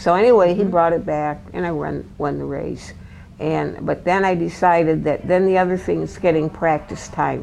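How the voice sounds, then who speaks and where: Over noticeable background noise, a woman keeps to a moderate pace. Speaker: former racing driver. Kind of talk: interview answer.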